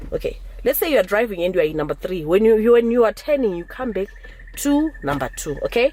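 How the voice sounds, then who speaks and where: A woman talks at a very fast pace with noticeable background noise behind her. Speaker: driving instructor vlogger. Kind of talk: tutorial. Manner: halting.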